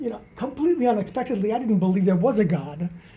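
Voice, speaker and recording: In a New Jersey accent, a man speaks with a dark, mellow tone at a high pitch and ordinary pitch variation, with audible room echo. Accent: American, New Jersey. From US Northeast, New Jersey. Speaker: author and charity founder. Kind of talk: interview.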